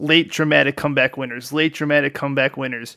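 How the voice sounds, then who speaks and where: A man's fairly high, bright and sharp voice with an American accent, recorded very clean against a silent background, dry and close with no echo. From United States. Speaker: sports podcaster. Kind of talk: solo podcast commentary. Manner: casual, animated.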